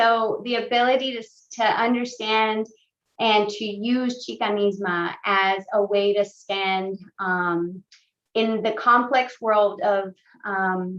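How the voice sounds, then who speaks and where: Very slowly and with fairly even intonation, a woman talks in a fairly high pitch. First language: Spanish. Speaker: panelist. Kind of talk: panel discussion.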